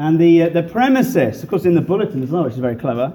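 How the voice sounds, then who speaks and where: This man speaks with a British accent in a high pitch. His tone is dark and mellow. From England. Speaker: guest preacher. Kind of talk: sermon. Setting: church. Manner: humorous.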